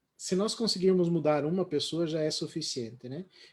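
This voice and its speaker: A man at a moderate pace, fairly high in pitch with ordinary pitch variation, in a very clean recording with a silent background. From Paraná, Brazil. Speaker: live stream host. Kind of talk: casual panel discussion. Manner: halting, many fillers.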